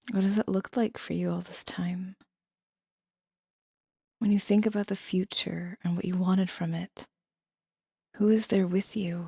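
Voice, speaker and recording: In a very clean recording with a silent background, a soft-spoken woman with a somewhat breathy, dark, mellow, calm tone speaks in a monotone, flat way with long, frequent pauses and a dry, close sound with no echo. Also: medium pitch for a woman, moderate pace. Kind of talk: soft-spoken ASMR tarot reading. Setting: studio, no music. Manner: soft-spoken, calm.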